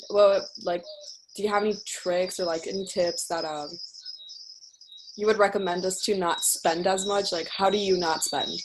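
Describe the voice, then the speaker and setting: Delivered at a moderate pace with long, frequent pauses, the speech has fairly even intonation over noticeable background noise. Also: woman, medium pitch for a woman. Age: 18. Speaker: student attendee. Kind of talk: audience question.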